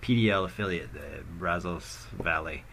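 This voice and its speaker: There is audible room echo as a man with an American accent speaks in a bright, sharp tone with ordinary pitch variation. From United States. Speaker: video game streamer. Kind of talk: gameplay commentary. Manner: halting, many fillers; casual.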